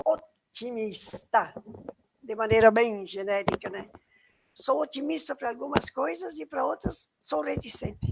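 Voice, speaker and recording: A woman's fairly high, vocal-fried voice at a fairly slow pace, with very wide pitch swings and big swings in loudness. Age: 80s+. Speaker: environmental educator. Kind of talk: online lecture. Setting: live stream.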